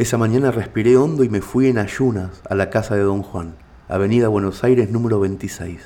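A man's unremarkable speaking voice, fairly low in pitch, with ordinary pitch variation and a moderate pace. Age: 40s. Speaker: writer and narrator. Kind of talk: scripted narration.

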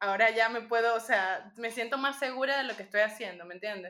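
A woman with a Venezuelan accent uses a bright, sharp tone, fairly high pitch and ordinary pitch variation at a moderate pace. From Venezuela (Punto Fijo, Falcón). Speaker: magician. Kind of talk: interview.

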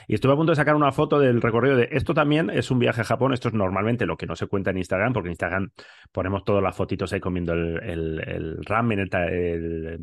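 A man speaks very fast at a fairly low pitch, with very wide pitch swings. The background is quiet. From Spain, Bilbao. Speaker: podcast co-host. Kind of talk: casual chat.

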